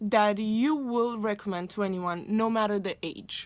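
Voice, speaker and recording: On a very clean recording with a silent background, a woman with a Romanian accent speaks fairly slowly at a fairly high pitch with ordinary variation. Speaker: booktuber. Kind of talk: casual vlog talk.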